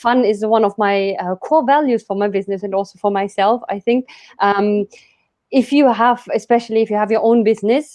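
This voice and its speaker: A woman speaks fairly quickly with a German accent. Her pitch is fairly high and varies in an ordinary way. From Germany. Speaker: business coach. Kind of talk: interview.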